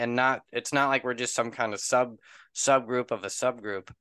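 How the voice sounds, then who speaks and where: A man's voice at a fairly quick pace, with fairly even intonation, a quiet background and a dry sound with no echo. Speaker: YouTube channel host. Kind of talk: casual interview. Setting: video call. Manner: halting. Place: home room. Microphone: studio mic.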